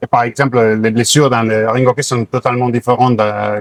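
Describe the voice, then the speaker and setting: Dry and close with no echo, the recording captures a man at medium pitch speaking at a moderate pace with fairly even intonation. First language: Catalan (speaking French). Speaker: sports doctor. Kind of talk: interview. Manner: halting, many hesitations.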